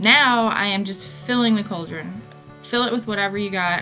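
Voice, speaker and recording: A woman talks at a moderate speed. Music sounds faintly behind her. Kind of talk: tutorial voiceover.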